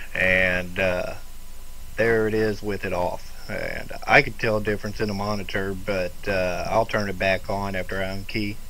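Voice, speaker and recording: In a room with audible echo, a man speaks with a bright, sharp tone and fairly low pitch. His intonation is monotone and flat, at a moderate pace. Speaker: ham radio operator. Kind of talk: casual chat. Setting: amateur radio contact. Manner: soft-spoken.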